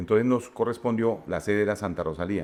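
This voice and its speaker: A man talks at a fairly quick pace in a fairly low pitch. His pitch varies in an ordinary way. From Casanare, Colombian plains. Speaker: radio and TV announcer, festival presenter. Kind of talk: interview answer. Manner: casual, storytelling.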